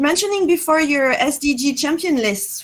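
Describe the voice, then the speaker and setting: This woman speaks with a French accent. Her pitch is high. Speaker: conference host. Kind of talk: panel discussion. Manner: hesitant, many fillers.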